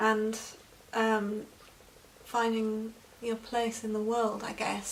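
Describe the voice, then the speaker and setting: Someone speaks at a very slow pace. Noticeable background noise and audible room echo fill the recording. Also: woman. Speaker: EFT practitioner. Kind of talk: tutorial. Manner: unscripted, halting with fillers.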